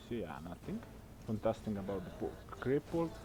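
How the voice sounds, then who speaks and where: The man's voice has a dark, mellow tone and moves at a fairly quick pace. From Southeastern Europe. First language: not English. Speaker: amateur esports caster. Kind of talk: live commentary. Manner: halting.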